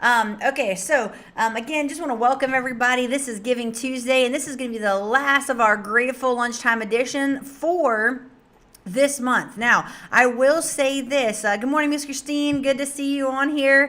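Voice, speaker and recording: A loud woman's voice, high in pitch and bright and sharp in tone, at a moderate pace with fairly even intonation. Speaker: nonprofit director hosting livestream. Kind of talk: casual livestream address. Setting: live stream.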